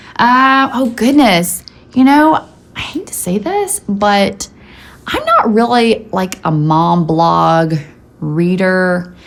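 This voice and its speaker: A woman's medium-pitched voice at a very slow pace, with very wide pitch swings, big swings in loudness and noticeable background noise. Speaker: YouTuber, stay-at-home mom. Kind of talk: casual vlog chat. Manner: animated.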